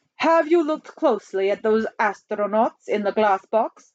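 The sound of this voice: Lively intonation in an unforced reading voice, quiet background behind it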